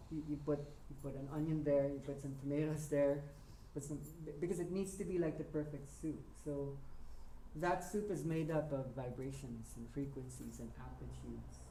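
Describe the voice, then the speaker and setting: The speech comes at a moderate pace with noticeable background noise underneath. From Philippines, Manila. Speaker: workshop teacher. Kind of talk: workshop talk.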